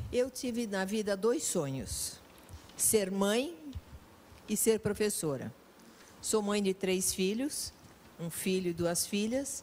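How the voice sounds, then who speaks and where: Speaking very slowly with long, frequent pauses, a woman uses lively intonation at a medium pitch. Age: 70s. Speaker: veteran teacher. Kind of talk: talk show interview.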